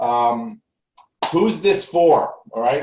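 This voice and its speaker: A man speaks with ordinary pitch variation. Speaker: tax business coach. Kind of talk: live webinar presentation. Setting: home recording studio, live broadcast. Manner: fast; animated.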